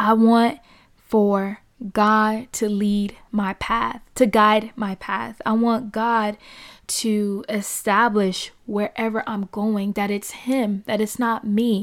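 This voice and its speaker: A woman's fairly high voice, monotone and flat, at a very slow pace. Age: 20s. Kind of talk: solo podcast monologue. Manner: casual, conversational.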